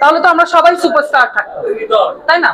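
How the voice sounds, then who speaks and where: A woman speaks over noticeable background noise. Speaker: actress at press event. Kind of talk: interview answer. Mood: earnest, reflective. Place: hall. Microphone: handheld.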